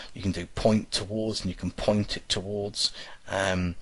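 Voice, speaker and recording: Pitched fairly low, a man speaks with a somewhat breathy quality. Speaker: programming teacher. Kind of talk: tutorial. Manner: halting.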